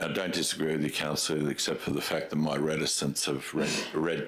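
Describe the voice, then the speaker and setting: Over noticeable background noise, a man with an Australian accent speaks in a very deep, low pitch and a monotone, flat intonation. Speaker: mayor chairing council meeting. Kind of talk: council meeting debate. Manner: loud.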